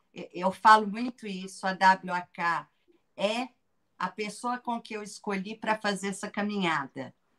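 With a bright, sharp tone and medium pitch, a woman talks at a fairly slow pace, her loudness swinging widely. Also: ordinary pitch variation, dry, close sound with no echo. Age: 50s. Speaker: educator and author. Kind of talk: casual interview.

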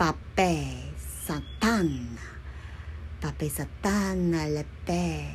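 A man puts on a guttural character voice, speaking very slowly with long, frequent pauses amid noticeable background noise. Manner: gibberish, ranting.

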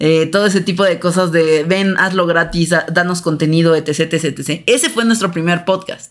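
Here is an ordinary speaking voice with fairly even intonation at a moderate pace. The recording is very clean, with a silent background. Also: woman. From Mexico City. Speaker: podcast co-host. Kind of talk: casual chat.

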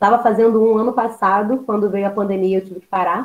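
A woman talks at a fairly quick pace. She has an ordinary speaking voice. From Baixada Fluminense, Rio de Janeiro, Brazil. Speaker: history teacher. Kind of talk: podcast interview.

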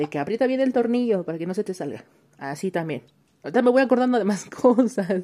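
A woman races along at a very fast pace, her pitch swinging very widely. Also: medium pitch for a woman. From Mexico. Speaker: listener sending voice messages. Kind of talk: casual chat.

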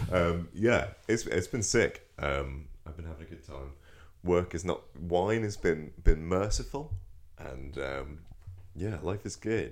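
With a Norfolk accent and vocal fry, a man speaks very slowly in a very deep, low pitch, his intonation lively and his loudness swinging widely. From Norfolk, England. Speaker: film and TV review podcast co-host. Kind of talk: casual chat.

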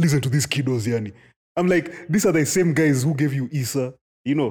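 In a very clean recording with a silent background, a man with a fairly high pitch sounds somewhat breathy and uses lively intonation. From Kenya. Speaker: podcast co-host. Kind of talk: casual chat.

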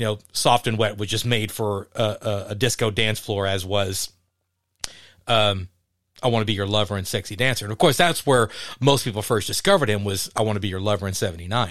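In a very clean recording with a silent background, a man with an American accent speaks at a fairly quick pace in a fairly low pitch. He has an unremarkable speaking voice with fairly even intonation. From Texas (Dallas). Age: 50s. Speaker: podcast host. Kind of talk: casual chat.

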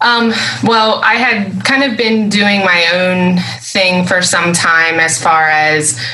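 A woman talks with ordinary pitch variation. The room echo is audible and background noise is noticeable. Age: 30s. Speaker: physical therapist. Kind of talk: interview. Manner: hesitant, many fillers.

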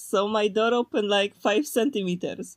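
A woman with a Polish accent speaks at a fairly slow pace. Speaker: podcast co-host. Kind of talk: casual chat.

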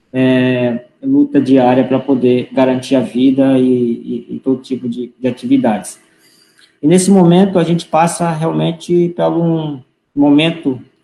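This man's fairly high voice has a dark, mellow tone and lively intonation, moving at a moderate pace. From Roraima, northern Brazil. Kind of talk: online panel discussion. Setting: online live stream.

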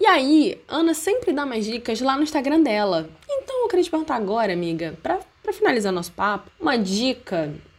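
A woman at a fairly quick pace, with very wide pitch swings and noticeable background noise. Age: 20s. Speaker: podcast host, university student. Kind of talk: casual chat.

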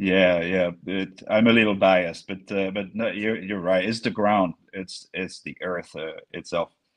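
A man's very deep, low voice with a French accent, fairly slow and flat, monotone in intonation. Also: hardly any pauses. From France (Bordeaux area). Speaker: climate scientist and consultant. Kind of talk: interview. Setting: video call. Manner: halting, many fillers.

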